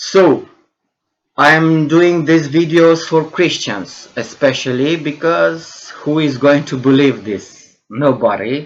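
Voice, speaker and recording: A very slow, fairly high male voice with ordinary pitch variation. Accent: Romanian. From Romania. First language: Romanian. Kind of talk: monologue video lecture. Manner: halting, many fillers and repetitions.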